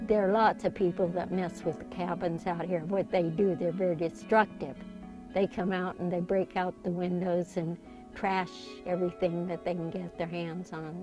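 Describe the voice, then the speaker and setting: Against music in the background, a woman at medium pitch speaks at a moderate pace with fairly even intonation. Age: 80s+. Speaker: desert gardener. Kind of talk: documentary interview answer.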